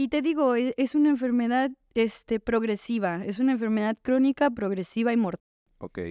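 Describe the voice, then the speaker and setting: Against a quiet background, a woman with a Mexican accent speaks at a high pitch and a moderate pace, her tone dark and mellow, her pitch varying in an ordinary way, and the sound dry with no echo. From Mexico. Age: 20s. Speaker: recovering addict sharing her story; podcast guest. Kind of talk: testimony. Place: studio. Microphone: studio mic.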